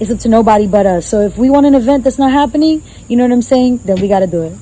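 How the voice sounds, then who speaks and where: Over noticeable background noise, a woman with a fairly high pitch speaks very fast in an animated tone, using ordinary pitch variation. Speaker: wellness advocate. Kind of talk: casual chat.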